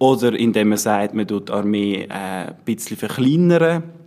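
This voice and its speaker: A man's fairly low-pitched voice at a fairly slow pace. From Switzerland, Haslital, Bernese Oberland. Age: 20s. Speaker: political candidate and student. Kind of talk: interview.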